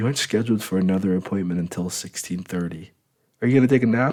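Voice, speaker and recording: In a put-on character voice, a man rumbles at a very fast pace with fairly low pitch and ordinary pitch variation. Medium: read story. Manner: grumbling, dry.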